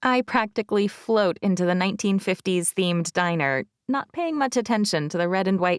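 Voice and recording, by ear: Ordinary pitch variation marks this reading aloud in a natural voice, set against a quiet background.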